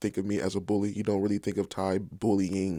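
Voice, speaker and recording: In an American accent, a man speaks at a fairly low pitch with monotone, flat intonation on a very clean recording with a silent background. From Southern California. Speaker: podcast guest. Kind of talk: casual interview.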